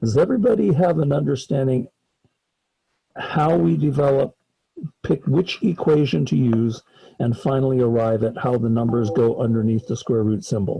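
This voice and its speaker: At a moderate pace, a man talks at medium pitch in a dark, mellow, somewhat breathy tone with lively intonation and very even loudness. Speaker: college math professor. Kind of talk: lecture.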